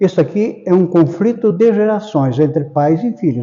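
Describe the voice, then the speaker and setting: This man has a high pitch and a dark, mellow tone, talking at a moderate pace with lively intonation. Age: 80s+. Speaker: spiritist lecturer. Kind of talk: public lecture. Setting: spiritist center hall with audience.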